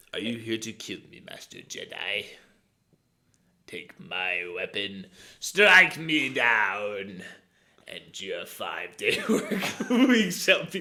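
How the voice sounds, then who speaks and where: A raspy, put-on character voice speaks at a very slow pace. Long, frequent pauses break up the delivery. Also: man, fairly high pitch for a man. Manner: creepy.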